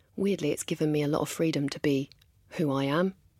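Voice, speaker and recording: The voice carries an English accent. Its pitch varies in an ordinary way. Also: woman. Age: 40s. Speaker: makeup artist and beauty entrepreneur. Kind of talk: casual interview.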